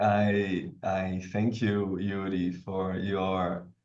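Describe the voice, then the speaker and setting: Male speech in an echoing room, with clear noise behind it. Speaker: professor and event moderator. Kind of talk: interview. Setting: video call.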